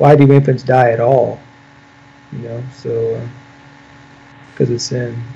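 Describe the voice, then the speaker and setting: A man with an American accent speaks at a fairly slow pace in a monotone, flat delivery, with long, frequent pauses. His loudness swings widely, and there is noticeable background noise. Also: medium pitch for a man. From US Midwest, Illinois. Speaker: pastor. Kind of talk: theological debate.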